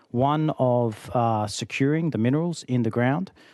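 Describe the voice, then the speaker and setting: A man's dark, mellow voice with an Australian accent, ordinary pitch variation, and a quiet background. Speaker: company founder and executive. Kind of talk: committee testimony. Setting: legislative hearing room.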